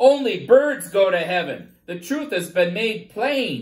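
The speaker uses a put-on character voice and takes a fairly slow pace. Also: man, high pitch for a man. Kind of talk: sermon-like. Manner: smug, proclaiming.

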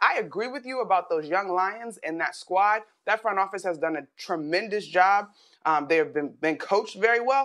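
With a bright, sharp tone, a woman speaks at a moderate pace against a quiet background. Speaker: sports analyst. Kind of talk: sports debate. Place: home room. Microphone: lapel.

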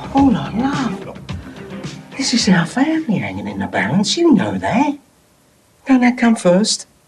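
Faint music sits behind a man who speaks in a high pitch at a fairly slow pace. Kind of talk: scripted drama dialogue. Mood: gentle, pleading, consoling. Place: home room.

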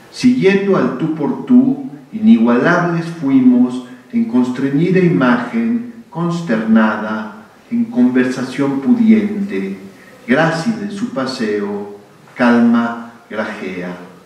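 The speech moves at a very slow pace with very wide pitch swings. Audible room echo surrounds it. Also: man, fairly high pitch for a man. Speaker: public speaker. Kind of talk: public conversation. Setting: stage with audience. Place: hall. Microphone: podium.

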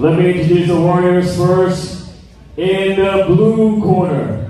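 A man's voice in a room with strong echo. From Philippines. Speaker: ring announcer. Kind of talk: ring announcing. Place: stadium.

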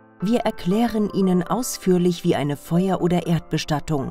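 Over music in the background, a woman with a fairly low pitch talks at a fairly slow pace with lively intonation. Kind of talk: commercial voice-over for a funeral home. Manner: empathetic, calm.

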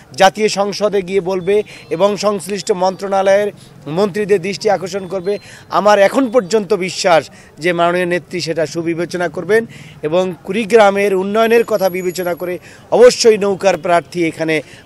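The man's pitch is high and his intonation fairly even. The sound is dry, with no echo. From Bangladesh. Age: 40s. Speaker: politician and lawyer; election candidate. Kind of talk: press statement to reporters. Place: street.

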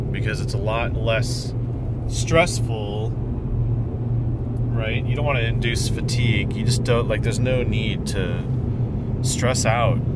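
Long, frequent pauses break up the fairly slow delivery, heard as a dry sound with no echo under loud background noise. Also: man. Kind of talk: casual vlog chat. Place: car. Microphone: phone near.

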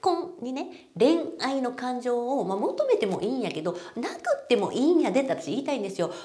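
Her voice sits high for a woman and swings very widely in pitch. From Japan. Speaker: marriage coaching YouTuber. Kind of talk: casual talk to camera. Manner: animated. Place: office. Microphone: lapel.

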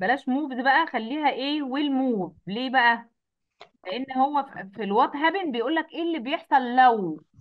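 The woman's voice sits high in pitch. Her intonation is lively. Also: moderate pace. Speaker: science teacher. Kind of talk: online class tutorial.

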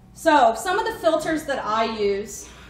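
A woman's voice comes through light background noise and audible room echo. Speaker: guest. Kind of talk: lecture. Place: home room. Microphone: camera far.

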